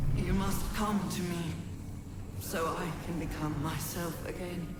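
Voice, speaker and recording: Someone puts on a character voice at a middle pitch and a fairly slow pace, with clear echo and loud background noise. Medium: game stream. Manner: solemn, otherworldly.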